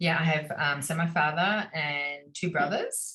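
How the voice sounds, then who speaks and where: Speaking with an Australian accent, a woman has a very deep, low pitch. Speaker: tour guide and art teacher. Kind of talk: casual chat. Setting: video call.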